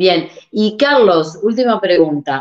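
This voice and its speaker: A woman's voice with very wide pitch swings. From Uruguay. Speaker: podcast host. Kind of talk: interview.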